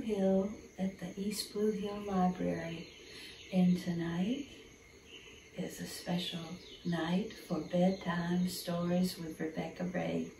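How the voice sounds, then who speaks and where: A woman speaks at a very slow pace. Light background noise and audible room echo are present. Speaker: storyteller. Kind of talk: storytelling intro to children. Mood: warm, gentle, friendly. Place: hall.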